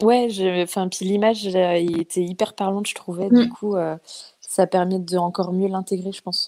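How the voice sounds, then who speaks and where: A woman's dark, mellow voice in a monotone, flat intonation at a moderate pace. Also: medium pitch for a woman. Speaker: caller, parent. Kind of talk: testimony. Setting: video call.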